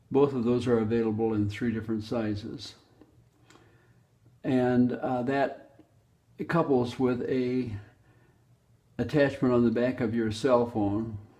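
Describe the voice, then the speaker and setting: A man's medium-pitched voice with a dark, mellow tone, fairly even intonation, long and frequent pauses, and audible room echo. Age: 80s+. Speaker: inventor. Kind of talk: product explanation. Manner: halting.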